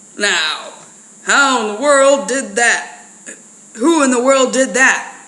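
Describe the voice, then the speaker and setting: A put-on character voice, fairly high-pitched, moves at a fairly slow pace with audible echo. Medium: read story.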